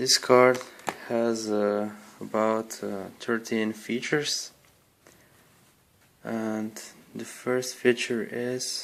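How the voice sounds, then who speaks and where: A man speaks at a very slow pace, his medium-pitched voice delivered in a flat monotone. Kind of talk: casual product review to camera. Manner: hesitant, many fillers.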